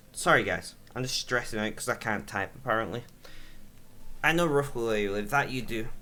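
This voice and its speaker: A man speaks fairly quickly at a medium pitch with lively intonation. His tone is bright and sharp. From northern England. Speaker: gaming streamer. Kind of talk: casual chat. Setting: live stream.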